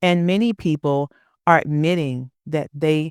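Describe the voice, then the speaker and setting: The pace is very slow. The recording is very clean, with a silent background. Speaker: podcast host. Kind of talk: personal monologue podcast.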